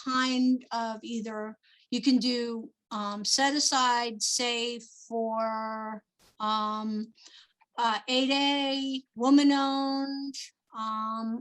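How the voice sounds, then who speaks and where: A woman speaks at a very slow pace. Her voice is high-pitched, with fairly even intonation. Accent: New Jersey. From New Jersey. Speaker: small business procurement advisor. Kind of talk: webinar presentation. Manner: many filler ums.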